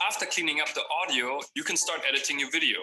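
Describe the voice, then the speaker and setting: A man with a slight German accent talks at a fairly quick pace amid noticeable background noise. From Germany. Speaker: video production trainer. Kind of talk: tutorial.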